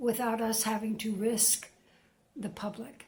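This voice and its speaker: Somewhat breathy, a woman talks fairly slowly at a fairly high pitch. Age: 70s. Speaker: retired woman vlogging about isolation. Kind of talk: casual monologue to camera. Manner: halting, many fillers.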